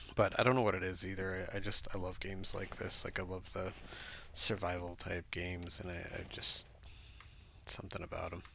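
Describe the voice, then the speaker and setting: Soft-spoken and flat in intonation, a man talks in a very deep, low voice with a bright, sharp tone. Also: fairly quick pace. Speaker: gaming streamer. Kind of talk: live gameplay commentary. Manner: casual, halting.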